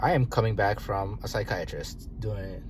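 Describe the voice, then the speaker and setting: The pace is fairly slow. Audible room echo can be heard. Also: man. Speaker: video diarist. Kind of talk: personal video diary. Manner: halting, filler-heavy.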